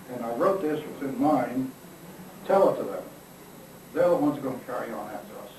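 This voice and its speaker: A man with a fairly high voice talks at a fairly quick pace amid noticeable background noise and audible room echo. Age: 80s+. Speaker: retired army officer and author. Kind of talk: press conference talk with Q&A. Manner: halting, with repetitions.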